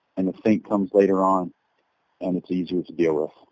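A man speaks in a very deep, low voice with monotone, flat intonation, the sound dry and close with no echo. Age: 30s. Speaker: army soldier. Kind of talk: interview.

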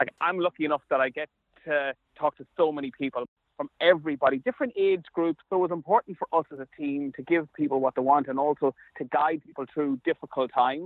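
A man with an Ulster border accent at a fairly quick pace, with big swings in loudness. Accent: Irish, Ulster border. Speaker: sports journalist and commentator. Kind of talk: interview. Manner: halting, repeats words.

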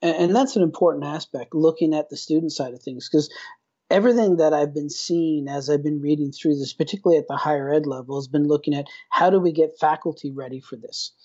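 A man talks at a very fast pace with a fairly high pitch. His loudness swings widely while his pitch variation stays ordinary. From Newfoundland, Canada (rural). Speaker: professor of instructional design. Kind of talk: interview.

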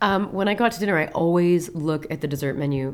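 A woman's very deep, low-pitched voice with an American accent, fairly quick in pace, with ordinary pitch variation. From Peoria, Illinois (US Midwest). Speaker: ice cream maker and cookbook author. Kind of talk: casual interview.

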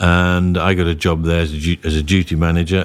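Monotone, flat intonation at a moderate pace on a very clean recording with a silent background. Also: man. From northern England, Whitehaven in Cumbria. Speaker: property company chief executive. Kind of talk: podcast interview. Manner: halting, many repetitions.

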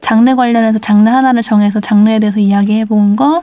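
At a fairly quick pace, a woman speaks in a fairly high pitch with a somewhat breathy, dark, mellow tone and ordinary pitch variation. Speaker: podcast host.

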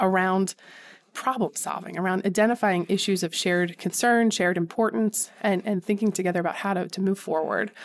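A woman with a Philadelphia accent, medium pitch, fairly even intonation and a fairly quick pace. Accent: Philadelphia-area American. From Philadelphia suburbs, Pennsylvania. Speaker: civic engagement center director. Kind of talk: interview.

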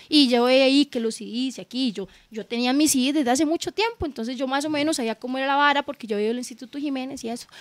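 A woman talks at a very fast pace with hardly any pauses. Her pitch is high. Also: ordinary pitch variation. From southern Costa Rica. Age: 30s. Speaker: DJ. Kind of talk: casual chat.

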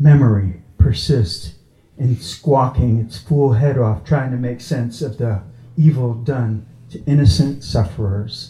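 An ordinary speaking voice with an American accent and ordinary pitch variation, delivered at a fairly slow pace. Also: man, medium pitch for a man. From Long Island, New York.

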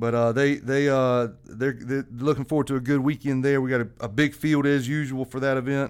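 A man with a South Carolina accent talks at a fairly quick pace and a medium pitch. His intonation is monotone and flat, with hardly any pauses. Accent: US Southern (South Carolina). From South Carolina (Lexington). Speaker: golf association executive director. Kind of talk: casual podcast chat. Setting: studio.

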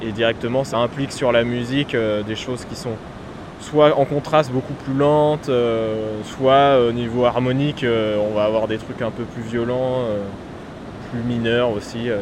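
Over noticeable background noise, a man speaks at a medium pitch with monotone, flat intonation. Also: fairly slow pace. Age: 20s. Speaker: musician and composer. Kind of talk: casual interview on location. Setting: outdoors by the sea.

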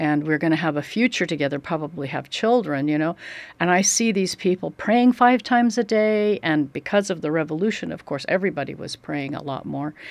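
With an American accent, this speaker has a plain, everyday voice and lively intonation. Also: woman. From Oregon, US. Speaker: ministry co-worker, pastor's wife. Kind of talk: interview. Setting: studio.

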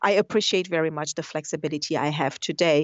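At a fairly quick pace, a woman talks with fairly low pitch and fairly even intonation. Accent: Portuguese. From Brazil. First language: Portuguese. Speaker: business executive. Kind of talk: interview. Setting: phone call. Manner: halting.

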